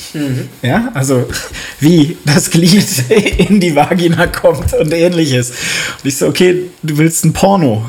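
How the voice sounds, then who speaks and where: A man speaks at a very slow pace with a fairly high pitch. Noticeable background noise runs behind him. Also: ordinary pitch variation. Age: 40s. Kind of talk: casual chat.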